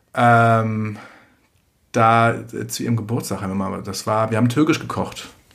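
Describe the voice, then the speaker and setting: A man speaks at a fairly slow pace and medium pitch, leaving long, frequent pauses. His intonation is fairly even, with audible room echo. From Germany. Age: 30s. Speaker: singer-songwriter. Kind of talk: casual chat. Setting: home kitchen.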